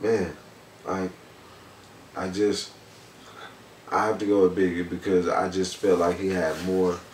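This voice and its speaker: At a fairly slow pace, a man with a very deep, low pitch speaks in a flat monotone, with long, frequent pauses and audible room echo. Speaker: rap artist. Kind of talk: casual interview.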